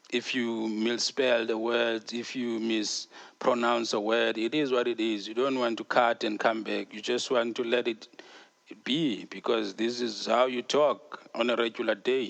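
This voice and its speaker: At a fairly slow pace, a man with a South African accent speaks in a monotone, flat intonation. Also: medium pitch for a man. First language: Xhosa. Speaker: podcast host. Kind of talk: casual podcast monologue. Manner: casual, hesitant with fillers.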